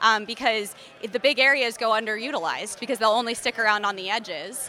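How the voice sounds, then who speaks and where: The woman has a plain, everyday voice, fairly high in pitch with ordinary pitch variation, moving at a fairly quick pace. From Philadelphia. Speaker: entomologist. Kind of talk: interview.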